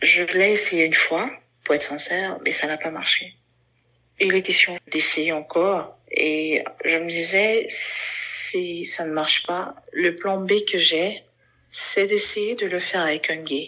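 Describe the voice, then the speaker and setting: A woman's fairly low voice, very slow pace, fairly even intonation. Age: 30s. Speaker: LGBT community member sharing her story. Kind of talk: interview testimony.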